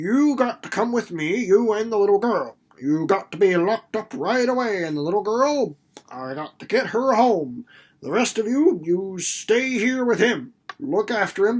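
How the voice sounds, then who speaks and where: A man's put-on character voice in a rural American accent, wheezy and gruff, high-pitched, with lively intonation at a moderate pace. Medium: read story. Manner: gruff, blustering, folksy dialect.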